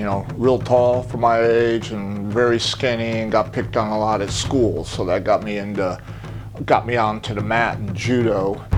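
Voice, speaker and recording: Amid background music and audible room echo, a man speaks at a fairly slow pace with fairly low pitch and monotone, flat intonation. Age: 60s. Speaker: patient, judo and jiu-jitsu competitor and coach. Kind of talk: testimonial interview. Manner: casual, conversational.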